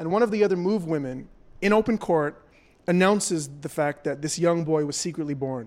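A man with a Canadian accent speaks in a normal speaking voice at a fairly quick pace, his pitch fairly high and its variation ordinary. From Toronto, Canada. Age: young. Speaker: journalist and podcast host. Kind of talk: live on-stage interview; scripted narration. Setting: festival main stage with audience.

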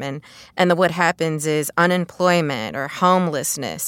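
Over a silent background in a very clean recording, a woman with a normal speaking voice talks at a fairly low pitch. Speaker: economist. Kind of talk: casual explanatory discussion.

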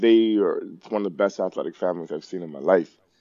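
This man speaks in a fairly low voice with ordinary pitch variation and a Toronto accent. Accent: Canadian English (Toronto). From Toronto, Canada. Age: 40s. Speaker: personal trainer and gym owner. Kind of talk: casual chat.

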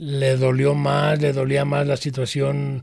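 Noticeable background noise under a man's medium-pitched voice. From Guadalajara, Jalisco, Mexico. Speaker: former gang member and activist's brother. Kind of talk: interview testimony.

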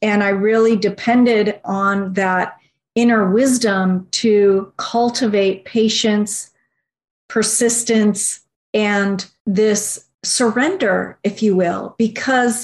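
The voice is somewhat breathy, with very even loudness and fairly even intonation. It moves at a very slow pace over a quiet background. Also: woman. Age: 40s. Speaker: research director and naturopathic physician. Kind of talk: interview.

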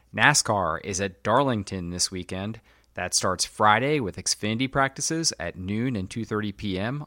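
In a very clean recording with a silent background and a dry, close sound with no echo, a man with an American accent talks at a fairly slow pace, his fairly low pitch, bright, sharp tone and lively intonation standing out. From US Midwest, Illinois. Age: 40s. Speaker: podcast host, motorsport journalist. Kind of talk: scripted outro and schedule reading.

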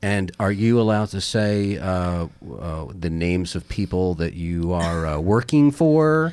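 A man with a very deep, low pitch talks at a fairly slow pace against a quiet background. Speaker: fill-in podcast host. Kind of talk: news podcast hosting and interview. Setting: studio.

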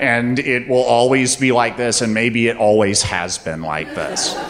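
A man talks at a medium pitch and a fairly slow pace. Noticeable background noise runs underneath. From US South, North Carolina. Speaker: storyteller. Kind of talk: live storytelling on stage. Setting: stage with audience.

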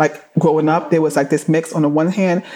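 A woman with a very deep, low pitch and a New York accent. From New York, Flatbush, Brooklyn. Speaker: entertainment attorney. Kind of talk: interview.

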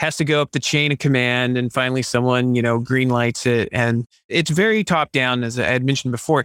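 At a fairly quick pace with hardly any pauses, a man in a normal speaking voice talks at medium pitch with ordinary pitch variation and very even loudness. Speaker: Hollywood creative director. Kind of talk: podcast interview, sponsored guest.

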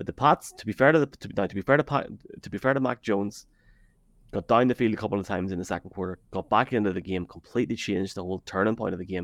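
With a dry, close sound and no echo, a man of fairly low pitch talks at a very fast pace, showing ordinary pitch variation and big swings in loudness. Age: 30s. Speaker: football podcaster. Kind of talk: casual sports chat. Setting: live video stream. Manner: animated.

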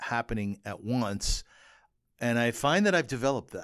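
A man with a Canadian accent, an ordinary speaking voice at medium pitch, moderate pace, very clean recording with a silent background. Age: 50s. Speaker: podcast host and columnist. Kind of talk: casual chat.

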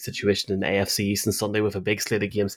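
In a Northern Irish accent, a man talks at a fairly quick pace and a fairly low pitch, recorded very cleanly against a silent background. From Tyrone, Northern Ireland. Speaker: podcast host. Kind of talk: casual sports preview chat.

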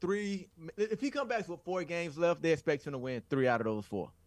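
A man speaks in a high pitch with an American accent. His pitch swings very widely. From US South. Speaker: football analyst. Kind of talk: casual chat.

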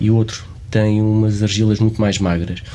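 The speaker is a man with fairly low pitch. He talks at a fairly slow pace. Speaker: archaeologist and podcast host. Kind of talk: interview.

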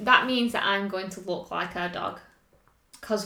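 A woman speaks at a medium pitch in an English accent. Background noise is noticeable. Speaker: fitness coach and podcast co-host. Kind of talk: casual chat.

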